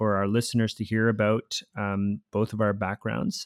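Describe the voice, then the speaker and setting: A man's normal speaking voice, medium in pitch, with a Canadian accent at a moderate pace, in a very clean recording with a silent background and a dry, close sound with no echo. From Costa Rica born, raised in Canada from age eight. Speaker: podcast co-host, university researcher. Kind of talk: podcast introduction, conversational. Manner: fluent, conversational, some fillers.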